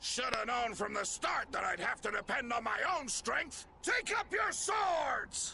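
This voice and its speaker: Shouting in a put-on character voice at an extremely high pitch, a man speaks at a fairly slow pace with hardly any pauses, very wide pitch swings and very even loudness, over clear background noise. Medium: video game. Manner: blustering, menacing.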